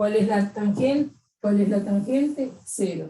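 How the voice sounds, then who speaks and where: A woman speaks at a very slow pace in a somewhat breathy, dark, mellow tone. Her medium pitch varies in an ordinary way. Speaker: math teacher. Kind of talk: lecture.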